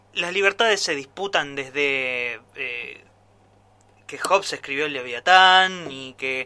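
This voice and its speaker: The pace is very slow. A man speaks in a bright, sharp tone. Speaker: radio commentator. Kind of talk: editorial commentary.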